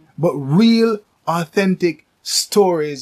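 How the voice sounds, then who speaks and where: The voice belongs to a man and sounds somewhat breathy. Pitch varies in an ordinary way. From Jamaica. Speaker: podcast host. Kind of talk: casual chat.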